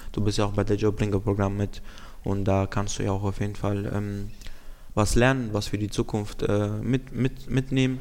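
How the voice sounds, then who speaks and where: A man with an ordinary speaking voice, fairly low in pitch, moderate in pace and fairly even in intonation. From Romania. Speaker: youth program participant hosting segment. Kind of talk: casual interview.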